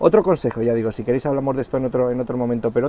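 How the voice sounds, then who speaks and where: A man's voice amid noticeable background noise. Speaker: author and personal branding consultant. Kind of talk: casual conversation.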